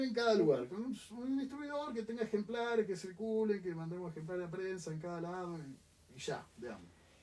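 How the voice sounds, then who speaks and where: A man speaks with an Argentine accent. His pace is fairly quick. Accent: Argentine (called germanic in jest). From Argentina. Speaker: book publisher. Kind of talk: interview conversation. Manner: hesitant, many fillers.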